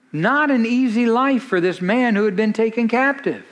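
There is audible room echo as a man with a high pitch talks at a moderate pace with ordinary pitch variation. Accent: American. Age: 50s. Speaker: pastor. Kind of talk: sermon.

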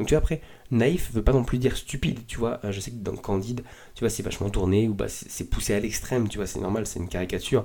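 Rushing at a very fast pace, a man speaks with a dark, mellow tone at a medium pitch and ordinary pitch variation. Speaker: podcast host. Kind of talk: solo podcast monologue. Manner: casual, hesitant with many fillers.

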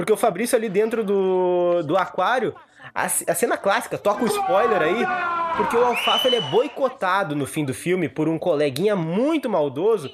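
A man with a high voice swings his pitch very widely while talking at a moderate speed against noticeable background noise. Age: 20s. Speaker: film podcast host. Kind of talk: casual chat.

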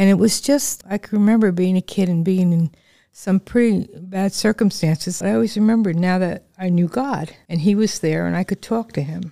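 With an American accent, a woman speaks at a moderate pace in a medium pitch, with a dark, mellow tone and ordinary pitch variation, in a dry, close sound with no echo on a very clean recording with a silent background. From northern New Jersey, near New York City. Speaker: church ministry assistant. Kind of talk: interview testimony.

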